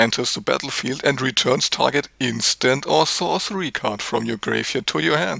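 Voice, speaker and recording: A man's bright, sharp voice with vocal fry and a German accent. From Germany. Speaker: card game video creator. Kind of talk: opinion video monologue. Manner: animated.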